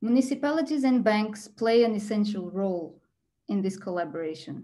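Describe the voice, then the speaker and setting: At a moderate pace, a woman speaks with a Portuguese accent in a somewhat breathy voice with a dark, mellow tone. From Portugal. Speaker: architect and PhD researcher. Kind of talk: presentation. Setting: video call. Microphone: video call.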